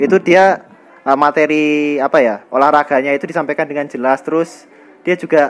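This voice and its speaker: His voice sits fairly high for a man. The delivery moves at a moderate speed. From Indonesia, Bangka (born in Bantul, Yogyakarta). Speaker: university student. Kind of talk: casual interview. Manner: hesitant, many fillers.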